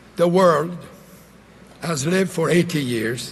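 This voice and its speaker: A man with a Quebec accent speaks at a fairly slow pace. His pitch varies in an ordinary way. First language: French. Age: 80s+. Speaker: former prime minister. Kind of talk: political convention speech. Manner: feisty.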